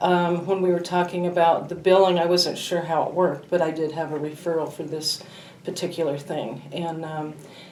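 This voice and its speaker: Fairly low in pitch, a woman talks at a moderate pace with fairly even intonation. Room echo is audible. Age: 60s. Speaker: patient giving testimonial. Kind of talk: testimony.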